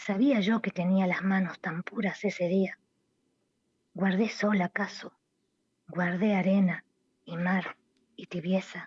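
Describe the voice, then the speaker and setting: A woman speaks at a very slow pace, somewhat breathy, at medium pitch with fairly even intonation. Long, frequent pauses break up her speech, and the sound is dry and close with no echo. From Buenos Aires, Argentina. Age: 60s. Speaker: poet and writer. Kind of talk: radio interview, casual chat. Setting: remote call to radio show.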